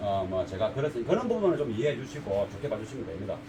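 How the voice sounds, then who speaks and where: Over noticeable background noise, a man with a strong Gyeongsang accent talks at a very fast pace with very wide pitch swings. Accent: thick Gyeongsang dialect. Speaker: car audio installer, shop owner. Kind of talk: casual talk to camera. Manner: unpolished, plain-spoken; halting, stammers.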